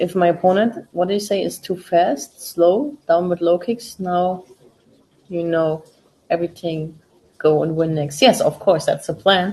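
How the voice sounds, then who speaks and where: In a German accent, a woman speaks at a fairly low pitch with a dark, mellow tone. Her pace is fairly slow and her voice somewhat breathy. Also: ordinary pitch variation. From Germany, Berlin (East Germany). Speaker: MMA fighter and watch-party host. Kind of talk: casual live-stream chat. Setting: live stream with friends in room. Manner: informal, with fillers.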